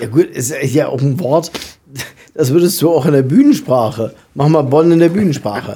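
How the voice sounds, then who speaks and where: A somewhat breathy man with a dark, mellow tone speaks at a moderate pace, with a fairly high pitch and ordinary pitch variation. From southern Lower Saxony, Germany. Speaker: podcast co-host. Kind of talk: casual chat.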